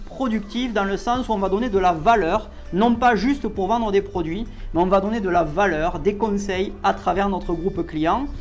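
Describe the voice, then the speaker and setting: A man with a Toulouse accent at a moderate pace, with audible room echo and music in the background. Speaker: network marketing coach. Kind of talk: tutorial. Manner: casual, filler-heavy.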